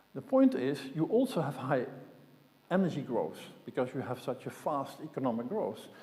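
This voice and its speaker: This man's voice has a fairly high pitch, a dark, mellow tone and a somewhat breathy quality. He speaks at a moderate pace with ordinary pitch variation. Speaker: conference speaker, systems modeller. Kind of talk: conference talk.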